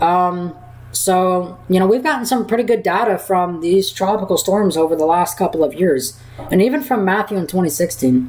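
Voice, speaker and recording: Over noticeable background noise, a woman talks at a moderate pace with lively intonation and very even loudness. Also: medium pitch for a woman. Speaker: weather livestreamer. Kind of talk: live Q&A stream. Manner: halting. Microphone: mic cutting out at times.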